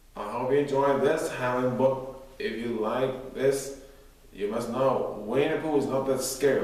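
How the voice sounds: The voice heard here is a natural reading voice.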